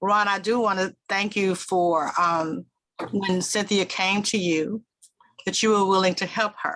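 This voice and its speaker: A woman speaks in a Southern US accent at a medium pitch. Her tone is bright and sharp, with fairly even intonation. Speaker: public relations executive. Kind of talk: panel discussion.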